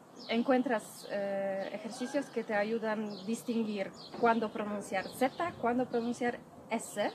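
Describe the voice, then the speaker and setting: Over noticeable background noise, a woman with a Polish accent speaks very slowly in a fairly high voice with fairly even intonation. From Poland (Masuria). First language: Polish (speaking Spanish). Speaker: Polish language teacher. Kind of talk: interview. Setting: outdoors. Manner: soft-spoken.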